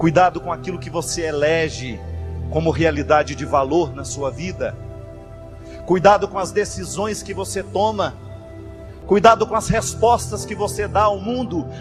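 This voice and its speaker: A man with a fairly high voice speaks at a moderate pace over background music, his pitch swinging very widely and his loudness rising and falling sharply, with long, frequent pauses. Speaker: priest, religious speaker. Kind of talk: motivational sermon-style reflection.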